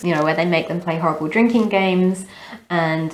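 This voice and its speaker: A woman's fairly low voice with an Australian accent and ordinary pitch variation. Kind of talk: casual talk to camera, book review.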